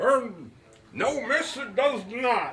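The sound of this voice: In a put-on character voice, a man speaks at an extremely high pitch and a very slow pace, with big pitch swings, a fairly bright tone and audible room echo.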